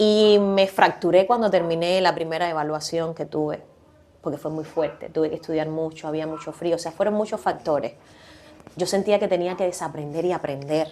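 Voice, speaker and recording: Talking at a fairly quick pace, a woman lets her pitch vary in an ordinary way. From Cuba. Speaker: podcast guest, communicator. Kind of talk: casual interview chat. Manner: animated, laughs a lot.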